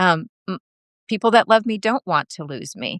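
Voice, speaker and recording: Pitch varies in an ordinary way, and the delivery keeps a moderate tempo. The sound is dry and close, without any echo. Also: woman. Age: 60s. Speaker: patient sharing illness experience. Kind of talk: interview conversation. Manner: halting.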